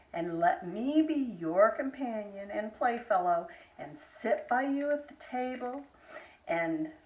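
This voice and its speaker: A woman's high, put-on character voice, very slow, with very wide pitch swings. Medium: read story.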